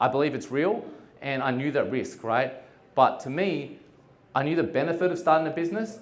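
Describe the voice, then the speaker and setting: With an Australian accent, a man speaks at a fairly quick pace and with ordinary pitch variation. Audible room echo surrounds his voice. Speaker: entrepreneur. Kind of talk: conference talk. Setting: stage with audience. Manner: casual, with many fillers.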